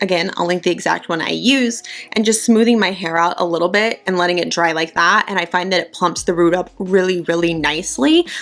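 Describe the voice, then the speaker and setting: Over noticeable background noise, a woman talks in an upbeat tone at a fairly quick pace with hardly any pauses. Her pitch is fairly low, with ordinary pitch variation. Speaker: beauty YouTuber. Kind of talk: casual talk to camera.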